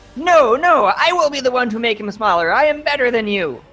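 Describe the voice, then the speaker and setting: A squeaky, put-on character voice at fairly high pitch runs at a fairly quick pace. Music plays in the background. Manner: boastful, arrogant.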